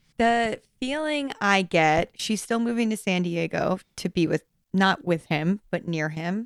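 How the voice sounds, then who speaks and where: A woman's normal speaking voice at a medium pitch, with lively intonation and a fairly slow pace. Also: dry, close sound with no echo. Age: 30s. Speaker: podcast co-host. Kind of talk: casual chat. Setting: remote recording over Zoom.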